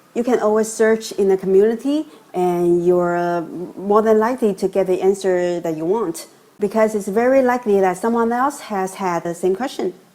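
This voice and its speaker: A woman's medium-pitched voice with a non-native accent, at a moderate pace with ordinary pitch variation. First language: not English. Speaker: course customer giving testimonial. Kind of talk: testimonial.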